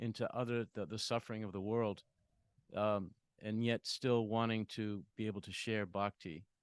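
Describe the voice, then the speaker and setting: Over a quiet background, a man speaks at a moderate pace and medium pitch, the sound dry and close with no echo. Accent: Boston. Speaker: discussion participant on a spiritual topic. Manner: hesitant, many fillers.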